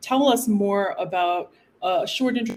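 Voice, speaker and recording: A woman with an American accent speaks at a medium pitch with lively intonation. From United States. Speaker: panel moderator. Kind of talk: panel discussion moderation. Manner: animated.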